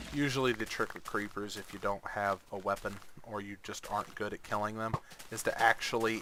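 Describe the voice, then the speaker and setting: Monotone, flat intonation comes with big swings in loudness over noticeable background noise. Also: man. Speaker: gaming youtuber. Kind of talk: gameplay tutorial commentary. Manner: halting.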